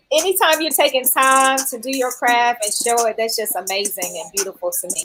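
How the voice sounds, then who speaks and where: Music plays in the background behind a woman. She speaks at a moderate pace in a high pitch. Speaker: fitness podcast host. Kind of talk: live-streamed interview. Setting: live stream on several platforms. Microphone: echo on stream.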